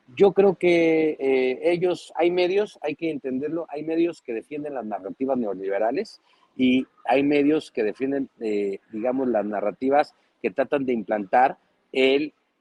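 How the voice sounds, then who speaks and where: With a Mexican accent, a man speaks at a fairly high pitch in a dark, mellow tone with lively intonation, the sound dry and close with no echo. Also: fairly slow pace. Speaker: political commentator. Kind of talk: panel discussion. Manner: animated.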